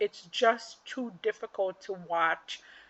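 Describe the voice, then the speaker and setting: Animated and lively in intonation, a woman with a non-native accent speaks at a fairly high pitch. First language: not English. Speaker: figure skating commentator. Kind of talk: casual monologue recap.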